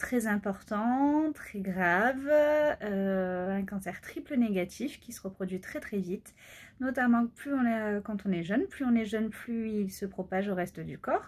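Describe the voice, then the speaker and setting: Speaking at a very slow pace, a woman uses a fairly high pitch, lively intonation and big swings in loudness. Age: 20s. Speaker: pediatric nurse and cancer patient vlogger. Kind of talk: personal vlog testimony. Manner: hesitant, many fillers.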